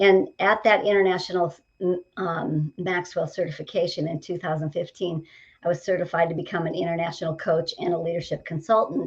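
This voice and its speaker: A woman speaks with a fairly low pitch and fairly even intonation. Her voice is somewhat breathy. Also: fairly quick pace. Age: 60s. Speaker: leadership coach. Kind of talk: casual interview. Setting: studio.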